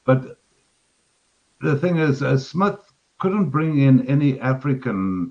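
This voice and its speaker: In a Zimbabwean accent, a man with a medium pitch speaks at a fairly slow pace with lively intonation. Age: 60s. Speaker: caller on live stream. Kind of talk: casual chat. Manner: halting.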